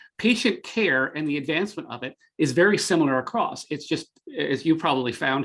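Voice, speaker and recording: Speaking at a fairly quick pace, a man uses lively intonation. His pitch is fairly high, and he has a slight Canadian accent. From Canada, Greater Toronto area. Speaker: tech marketing executive. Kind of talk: podcast interview. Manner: halting, many fillers.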